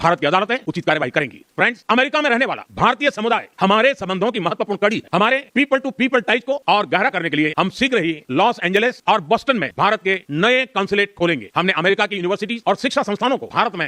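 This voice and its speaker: The man's voice is raised and projected, pitched high. It carries a bright, sharp tone. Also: lively intonation, hardly any pauses, dry, close sound with no echo. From India. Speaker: politician, head of government. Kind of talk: formal political speech. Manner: fast, without pauses.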